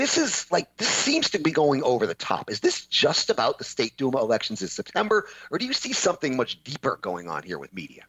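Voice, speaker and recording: In a dry, close sound with no echo, a man talks at a fairly quick pace with hardly any pauses. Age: 50s. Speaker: podcast host and adjunct professor. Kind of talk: interview podcast. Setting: home studio.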